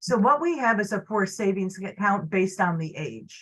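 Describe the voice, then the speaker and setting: With lively intonation and a somewhat breathy quality, this woman's voice moves at a moderate pace. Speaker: social services caseworker. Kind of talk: informational presentation. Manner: hesitant, many fillers.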